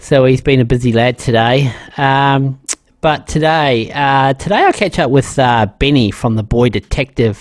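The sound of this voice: At a fairly slow pace, a man speaks at a medium pitch. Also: ordinary pitch variation.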